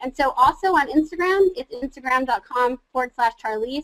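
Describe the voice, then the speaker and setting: In a high pitch with ordinary pitch variation, a woman speaks in a passionate, energetic tone, the sound dry and close with no echo. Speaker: social media marketing trainer. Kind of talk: webinar presentation. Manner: fast.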